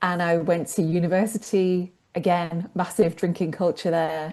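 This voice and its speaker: Against a quiet background, a woman talks at a medium pitch. She has a British accent and a fairly slow pace. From England. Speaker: sobriety coach. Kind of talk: interview conversation.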